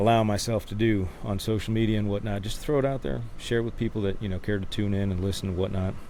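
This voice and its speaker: Speaking at a fairly quick pace, a man has a fairly low pitch. The room echo is audible. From Denmark, small town. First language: Danish. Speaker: Marine veteran and musician. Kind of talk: casual chat. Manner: halting, repeats words.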